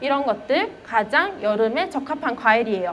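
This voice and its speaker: Audible room echo and noticeable background noise around a woman speaking. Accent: Gyeongsang. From Gyeongsang region, Korea. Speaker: elementary school teacher. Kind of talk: lecture. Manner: conversational, with fillers.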